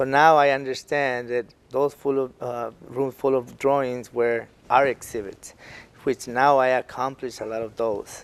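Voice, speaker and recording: A man at a medium pitch with a Spanish accent, flat and monotone, at a fairly slow pace. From Mexico. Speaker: artist and entertainer. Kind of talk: interview. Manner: halting.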